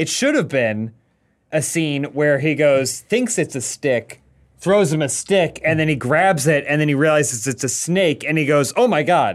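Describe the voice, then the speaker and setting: A man in a normal speaking voice, fairly high in pitch, with lively intonation, very even loudness and a moderate pace on a very clean recording with a silent background. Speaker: podcast co-host. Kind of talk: casual chat. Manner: joking.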